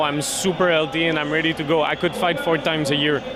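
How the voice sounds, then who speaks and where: Noticeable background noise accompanies a man whose fairly high pitch carries a fairly even intonation. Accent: Quebec. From Quebec. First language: French. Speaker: MMA fighter. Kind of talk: post-fight interview. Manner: halting, many fillers.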